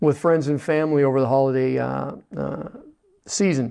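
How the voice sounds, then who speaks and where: A Western Pennsylvania accent at a moderate pace. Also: man. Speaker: veterans agent, TV forum host. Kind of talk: interview. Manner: hesitant, many filler words.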